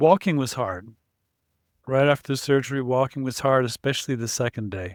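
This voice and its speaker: Speaking at a fairly quick pace, a man with a medium pitch and ordinary pitch variation sounds dry and close with no echo, on a very clean recording with a silent background. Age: 60s. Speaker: surgery patient. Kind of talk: interview. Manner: halting.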